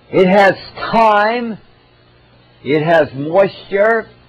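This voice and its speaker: There is noticeable background noise behind this man's high-pitched voice. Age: 80s+. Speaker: natural health lecturer. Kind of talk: health lecture.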